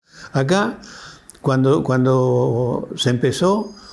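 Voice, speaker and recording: The man's medium-pitched voice carries audible room echo. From Argentina, Río Negro (Alto Valle). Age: 80s+. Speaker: elderly local resident. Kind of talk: documentary interview testimony. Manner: halting, with self-corrections.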